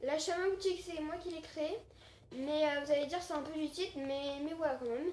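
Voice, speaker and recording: Here a woman speaks at a moderate pace. Her pitch is high. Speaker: gaming YouTuber. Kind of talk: gameplay commentary. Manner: hesitant, many fillers.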